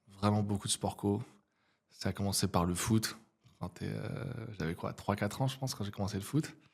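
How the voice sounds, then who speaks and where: A moderate pace in a very clean recording with a silent background. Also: man. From French provinces. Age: 30s. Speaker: entrepreneur and neuroscience coach. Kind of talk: podcast interview. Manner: casual, many hesitations.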